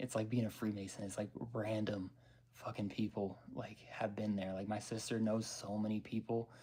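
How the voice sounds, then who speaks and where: A somewhat breathy man, fairly low in pitch, at a moderate pace. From Denver, Colorado. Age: 30s. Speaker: vlogger. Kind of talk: casual chat. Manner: rambling with many fillers.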